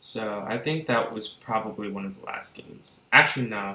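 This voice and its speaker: A man talks quietly at a fairly slow pace. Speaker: chess streamer. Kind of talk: live commentary. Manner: animated.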